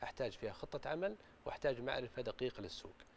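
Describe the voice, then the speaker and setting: Lively intonation drives this fairly quick delivery over light background noise. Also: man. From Saudi Arabia. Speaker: business growth consultant; guest. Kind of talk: studio talk show interview. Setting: studio. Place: studio. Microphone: lapel.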